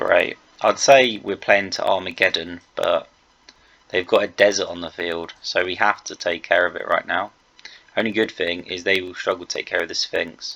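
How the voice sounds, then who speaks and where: A quiet man talks at a moderate pace, his loudness swinging widely. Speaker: video game commentator. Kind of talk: gameplay commentary. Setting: at home late at night. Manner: quiet, held down for neighbours.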